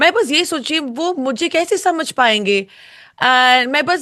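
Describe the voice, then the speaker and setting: In an English accent, a raised, projected voice with a bright, sharp tone carries over a quiet background. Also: woman. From UK. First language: English (speaking Hindi). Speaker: singer, reality show contestant. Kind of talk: interview. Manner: slow, halting Hindi.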